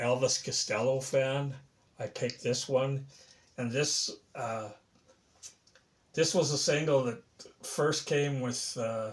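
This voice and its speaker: Speaking at a fairly slow pace, a man with a medium-pitched, somewhat breathy voice keeps his intonation fairly even. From Canada, Saskatchewan. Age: 70s. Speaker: record collector video creator. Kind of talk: casual show-and-tell vlog. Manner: halting, many fillers.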